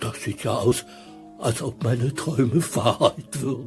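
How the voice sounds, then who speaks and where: With clear music in the background, a man uses a put-on character voice at a medium pitch and a fairly slow pace. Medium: audio drama. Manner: whiny, longing.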